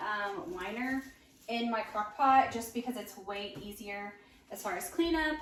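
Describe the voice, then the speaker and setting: A woman speaks at a moderate pace with lively intonation. The room echo is audible. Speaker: home cook sharing recipes. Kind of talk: casual cooking tutorial. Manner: casual, many fillers.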